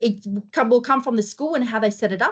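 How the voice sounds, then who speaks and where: Against a quiet background, a somewhat breathy woman talks at a fairly quick pace, fairly high in pitch with ordinary variation. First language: not English. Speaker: school careers pathways presenter. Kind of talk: informational presentation.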